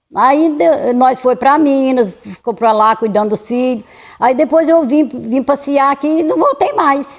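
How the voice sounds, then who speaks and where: Lively intonation in a woman's high voice. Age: 70s. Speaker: local resident interviewee. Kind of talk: documentary interview. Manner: halting, many repetitions.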